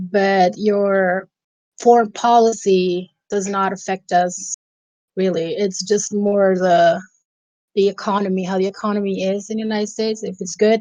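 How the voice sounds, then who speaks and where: The speaker has a Caribbean accent and a monotone, flat intonation. The pace is moderate. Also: woman, medium pitch for a woman. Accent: Caribbean accent when speaking Dutch. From Aruba. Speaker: podcast guest. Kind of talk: casual interview chat.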